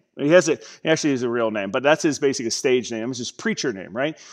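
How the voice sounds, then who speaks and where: The voice belongs to a man. Nothing stirs behind him. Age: 30s. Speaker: pastor. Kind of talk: sermon. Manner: animated. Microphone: headset.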